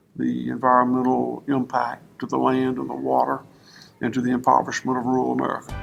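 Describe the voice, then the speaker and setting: A man speaks with a Southern US accent over music playing in the background. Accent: Southern US drawl. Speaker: fourth-generation cattleman. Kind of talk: interview answer.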